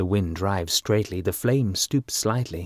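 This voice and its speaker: With an RP accent, a man speaks fairly slowly at a fairly low pitch with ordinary pitch variation, in a very clean recording with a silent background and a dry, close sound with no echo. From England. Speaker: voice artist. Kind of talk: audiobook narration.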